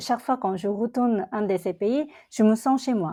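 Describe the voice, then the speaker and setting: A woman with a Korean accent speaks at a fairly slow pace in a dark, mellow tone, with a fairly high pitch and ordinary pitch variation. The background is quiet. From South Korea. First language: Korean (speaking French). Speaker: entrepreneur. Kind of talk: interview conversation. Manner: halting.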